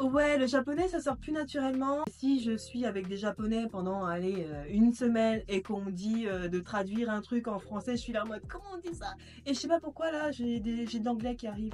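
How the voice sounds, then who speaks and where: Lively intonation and a moderate pace come with hardly any pauses, against noticeable background noise. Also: woman, fairly high pitch for a woman. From Japan, Tokyo. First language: Japanese (speaking French). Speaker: podcast guest. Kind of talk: casual interview.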